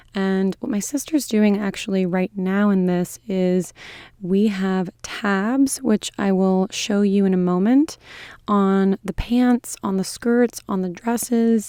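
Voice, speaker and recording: A woman with a medium pitch and a dark, mellow tone talks at a very slow pace with fairly even intonation, in a very clean, dry, close recording with a silent background and no echo. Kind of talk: casual talk to camera.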